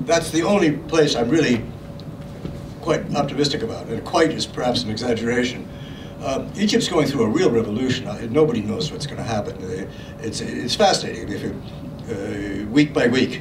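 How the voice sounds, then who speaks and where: A man's voice at medium pitch with lively intonation and a moderate pace, plus audible room echo and noticeable background noise. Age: 70s. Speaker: author and journalist. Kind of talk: Q&A discussion. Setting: book launch event. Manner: halting.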